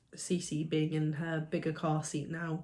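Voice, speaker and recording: A woman speaks in a somewhat breathy voice. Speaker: vlogger. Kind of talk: casual chat.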